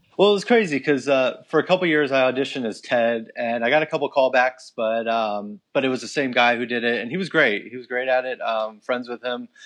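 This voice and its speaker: With an unremarkable speaking voice, a man at medium pitch talks at a fairly quick pace with ordinary pitch variation and hardly any pauses. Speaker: theme park actor. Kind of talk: casual interview.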